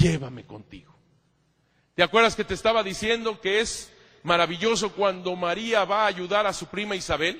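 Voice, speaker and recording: A man's high-pitched, animated voice at a moderate pace, with ordinary pitch variation. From Mexico. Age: 50s. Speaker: priest and church historian. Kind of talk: lecture.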